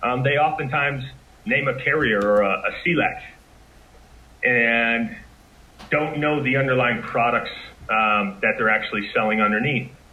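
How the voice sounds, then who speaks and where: Pausing long and often, a man speaks at a moderate pace and medium pitch, with ordinary pitch variation, very even loudness and noticeable background noise. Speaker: marketing and sales executive. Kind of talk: interview.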